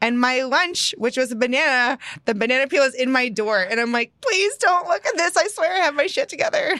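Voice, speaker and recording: In a raised, projected voice with an American accent, a woman speaks at a high pitch with very wide pitch swings. Her loudness stays very even, and she hardly pauses at all. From Texas. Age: 30s. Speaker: podcast host and life coach. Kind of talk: casual interview chat.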